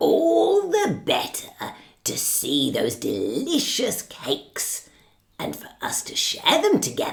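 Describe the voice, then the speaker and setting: A woman uses a put-on character voice. She speaks at a fairly slow pace. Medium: read story. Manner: sly, wheedling.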